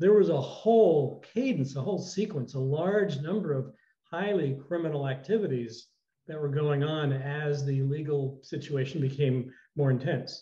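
A man's dark, mellow, somewhat breathy voice with audible room echo against a quiet background. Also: fairly high pitch for a man, ordinary pitch variation, moderate pace. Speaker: retired TV news reporter. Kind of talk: interview. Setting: video call. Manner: halting. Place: home room. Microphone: video call.

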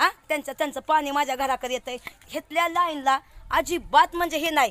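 Music plays behind a woman with a high voice and an animated tone. Her pitch varies in an ordinary way, and the sound is dry and close with no echo. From Indapur taluka, Pune district, Maharashtra. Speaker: village resident vlogger. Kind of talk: complaint vlog walkthrough.

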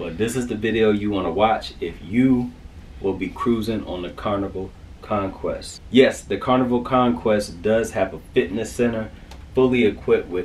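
At a moderate pace, a man talks with ordinary pitch variation against light background noise. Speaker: vlogger. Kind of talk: casual vlog chat. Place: home room. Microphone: phone near.

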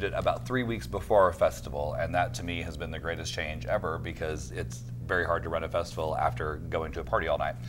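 Against noticeable background noise, a man with an American accent talks at a very fast pace with lively intonation. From Oklahoma (Alva). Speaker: film festival director. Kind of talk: casual interview. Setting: studio. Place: studio. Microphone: lapel.

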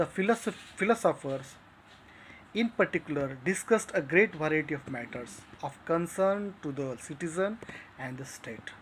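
A man talks at a moderate pace, his loudness swinging widely. Light background noise sits behind him. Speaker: literature teacher. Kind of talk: lecture. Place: home room. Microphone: phone near.

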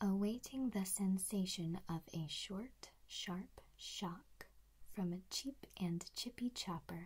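Very slowly, a woman speaks with a somewhat breathy, dark, mellow tone and ordinary pitch variation. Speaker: voice coach. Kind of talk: tutorial. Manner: whispered, crisply articulated tongue twister. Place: home room. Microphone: earbuds.

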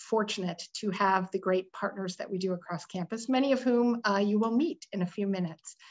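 A woman at a moderate pace with fairly even intonation, over a quiet background. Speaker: panel moderator. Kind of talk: moderator introduction. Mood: warm, friendly. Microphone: video call.

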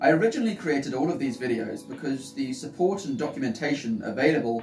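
Over clear background music, a man talks at a fairly quick pace with audible room echo. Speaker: channel host. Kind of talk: casual announcement to camera. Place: home room.

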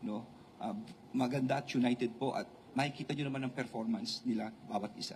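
At a fairly quick pace, a man speaks in a somewhat breathy, medium-pitched voice with fairly even intonation. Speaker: politician. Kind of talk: press conference. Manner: halting.

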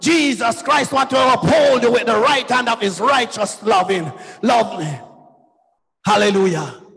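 Speaking at a fairly slow pace, a man with an extremely high pitch uses an animated tone and lively intonation. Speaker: preacher. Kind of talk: sermon with exclamations and prayer. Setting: church. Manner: animated, fervent, exclaiming 'Oh, glory' and 'hallelujah'. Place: church. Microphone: handheld.

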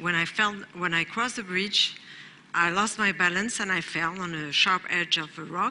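There is noticeable background noise behind this woman. She talks at a moderate pace with medium pitch and fairly even intonation. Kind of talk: personal testimony. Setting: stage with audience. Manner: halting.

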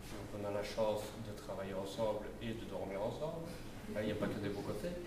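Noticeable background noise runs under a man's voice. He speaks at a moderate pace, and the room echo is audible. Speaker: business owner, election candidate. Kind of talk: public speech. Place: hall. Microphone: handheld.

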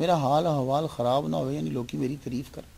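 A man of medium pitch speaks with a dark, mellow tone. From Pakistan, Lahore; Pakistan. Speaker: Islamic scholar and preacher; preacher. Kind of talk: religious lecture. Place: home room. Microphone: podium.

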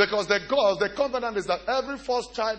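Speaking at a very fast pace, a man sounds animated. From Nigeria. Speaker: pastor. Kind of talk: sermon. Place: church. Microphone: handheld.

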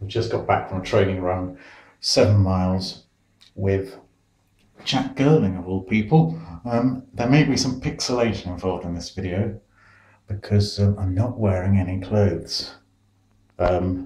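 With audible room echo, a man speaks at a moderate pace in a fairly low, somewhat breathy voice, with ordinary pitch variation and long, frequent pauses. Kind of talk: casual vlog chat. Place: bathroom. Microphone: phone near.

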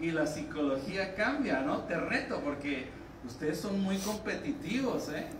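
A man speaks in a high, animated voice at a fairly quick pace. Noticeable background noise is present. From Mexico. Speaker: physics teacher, professor. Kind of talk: conference talk. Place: hall.

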